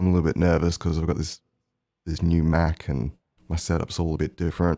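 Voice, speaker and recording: A man with a very deep, low pitch speaks at a fairly quick pace. The sound is dry and close with no echo, on a very clean recording with a silent background. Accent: Australian. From Australia. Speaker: musician livestreamer. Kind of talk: casual live stream chat.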